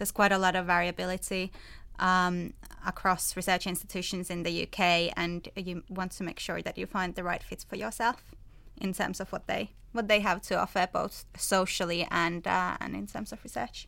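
A woman speaks at a moderate pace with a Finnish accent. The recording is very clean, with a silent background. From Finland. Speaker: PhD student. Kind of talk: panel discussion.

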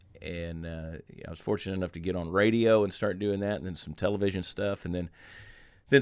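A man speaks with a very deep, low pitch at a fairly quick pace, with ordinary pitch variation. The recording is very clean and the background silent. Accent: American. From US South, Augusta, Georgia. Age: 40s. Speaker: humorist and storyteller. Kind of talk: casual interview chat. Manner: fast talker.

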